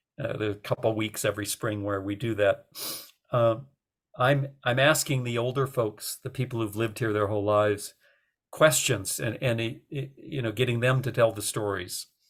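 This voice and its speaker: On a very clean recording with a silent background, a man with an American accent sounds somewhat breathy and keeps a fairly even intonation. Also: medium pitch for a man, moderate pace. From US Midwest, North Dakota. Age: 60s. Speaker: author and environmental activist. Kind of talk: radio interview. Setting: radio show. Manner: halting, many fillers and repetitions.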